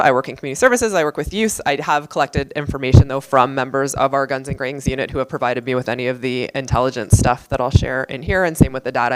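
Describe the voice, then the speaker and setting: The woman's pitch is very deep and low, with ordinary variation. She speaks at a very fast pace. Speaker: police officer. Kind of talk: lecture.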